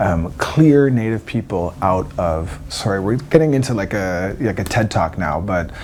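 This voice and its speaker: A man with a Canadian accent speaks at a moderate pace in a dark, mellow tone, his pitch swinging very widely. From eastern Canada, Wabanaki territory. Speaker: singer. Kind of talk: interview. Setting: backstage at a music festival.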